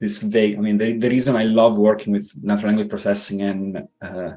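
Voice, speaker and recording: A man speaks at a fairly low pitch with a slight non-native accent. Music can be heard in the background. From Italy. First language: Italian. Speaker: tech engineer, podcast guest. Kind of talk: interview conversation. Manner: hesitant, many fillers.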